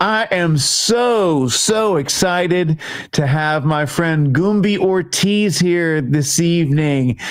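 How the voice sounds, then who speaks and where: A man with an American accent and a high pitch speaks at a very slow pace with hardly any pauses, his intonation lively and his loudness very even, over noticeable background noise. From Pittsburgh, Pennsylvania. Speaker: interview show host. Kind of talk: casual interview.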